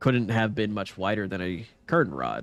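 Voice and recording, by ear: Someone reads aloud in a natural voice. The pitch moves in an ordinary way.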